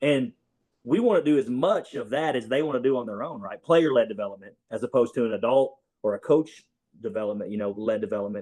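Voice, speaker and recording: A man talking very fast, medium in pitch, with a dark, mellow tone against a quiet background. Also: lively intonation. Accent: strong Southern US. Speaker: basketball coach. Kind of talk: casual interview.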